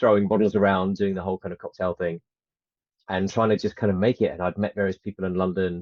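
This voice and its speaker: The man's pitch is fairly low and his intonation monotone and flat. He speaks at a very fast pace. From UK, born in New Zealand. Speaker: actor and filmmaker. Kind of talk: interview. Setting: podcast interview. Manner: casual, hesitant with fillers.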